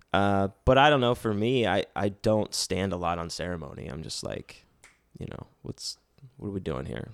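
Vocal fry runs through a man's voice at a fairly quick pace with very wide pitch swings. The sound is dry and close, with no echo. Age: 30s. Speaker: comedian and sketch writer. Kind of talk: casual chat.

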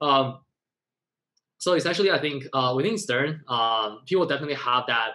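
With an American accent, a man of medium pitch speaks in a bright, sharp tone. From China, raised partly in New York. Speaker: university student. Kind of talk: casual interview chat.

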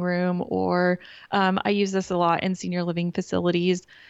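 With an American accent, a woman speaks at a moderate pace and fairly low pitch in a plain, everyday voice. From Kansas. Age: 40s. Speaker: interior designer. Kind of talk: interview.

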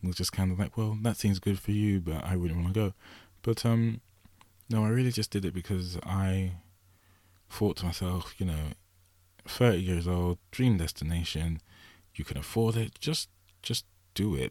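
A man's very deep, low voice with a dark, mellow tone and an English accent, ordinary pitch variation, a moderate pace, and long, frequent pauses. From England. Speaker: solo podcast host. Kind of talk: casual monologue. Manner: rambling, many fillers.

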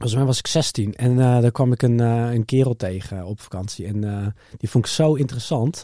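A man's dark, mellow voice at medium pitch, with ordinary pitch variation and a dry, close sound with no echo. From Netherlands, Harderwijk (Gelderland). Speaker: entrepreneur, product designer. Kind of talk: interview. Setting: studio.

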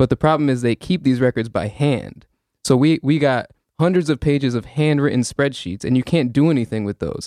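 A man's dark, mellow voice with an American accent, fairly quick, with ordinary pitch variation, in a dry, close sound with no echo and a quiet background. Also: medium pitch for a man. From suburbs of New Haven, Connecticut. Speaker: community organizer. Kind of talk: interview, advocacy.

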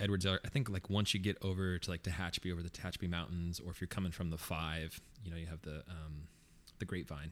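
Speaking at a very fast pace, a man uses a very deep, low pitch and fairly even intonation. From New Mexico, Las Cruces. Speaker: coffee company co-founder. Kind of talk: casual chat. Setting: studio.

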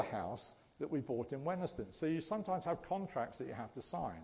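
A man's fairly high-pitched voice with vocal fry. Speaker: church speaker. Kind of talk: sermon. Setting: church. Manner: jokey, self-deprecating.

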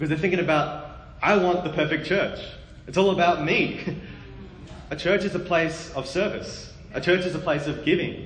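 A man with an Australian accent speaks at high pitch and a moderate pace, taking long, frequent pauses. Noticeable background noise and audible room echo fill the recording. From Australia, Melbourne. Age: 20s. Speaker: preacher. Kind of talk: sermon. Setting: church. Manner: animated.

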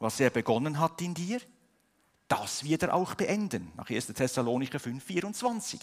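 Speaking at a fairly slow pace, a man with a fairly high pitch uses very wide pitch swings. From Switzerland. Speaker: pastor. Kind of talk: sermon. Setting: church service, livestreamed.

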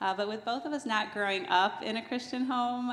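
There is audible room echo as a woman speaks in an American accent. Her pace is moderate. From New Jersey. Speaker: church member. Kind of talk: testimony. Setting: church.

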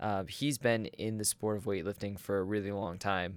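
A man talks in an ordinary speaking voice, fairly low in pitch, with fairly even intonation. The recording is very clean, with a silent background. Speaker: podcast host. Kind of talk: casual interview.

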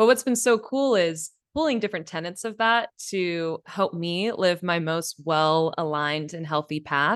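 With a West Coast accent, a woman speaks at a moderate pace and a fairly low pitch, her intonation lively over a quiet background. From California, Bay Area. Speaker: podcast host. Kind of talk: casual interview.

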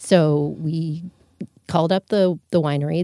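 A woman with an American accent speaks in a fairly low, dark, mellow voice with ordinary pitch variation. The sound is dry and close, with no echo. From South Florida, near Fort Lauderdale. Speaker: winemaker and winery co-owner. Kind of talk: interview. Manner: relaxed, easygoing.

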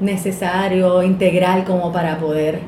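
A woman at a medium pitch, very slow pace and fairly even intonation, amid audible room echo and noticeable background noise. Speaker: podcast host. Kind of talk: casual chat; scripted narration.

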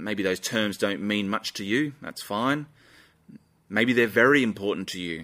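At a fairly slow pace, the voice has a bright, sharp tone and ordinary pitch variation in a very clean recording with a silent background. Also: man, fairly low pitch for a man. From Australia. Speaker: pastor. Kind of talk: sermon. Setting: church live stream.

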